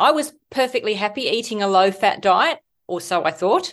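A woman with an Australian accent at a medium pitch, against a quiet background. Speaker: medical doctor and author. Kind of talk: interview, explanatory health talk.

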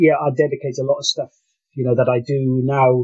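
A fairly quick, somewhat breathy voice. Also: man. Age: 50s. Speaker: employment specialist and keto dieter. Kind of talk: interview. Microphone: poor sound quality.

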